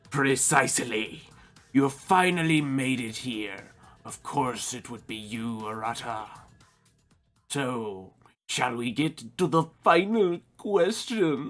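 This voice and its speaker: A man uses a put-on character voice at a medium pitch with lively intonation. He talks at a fairly slow pace over faint background music. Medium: game stream. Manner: formal, condescending.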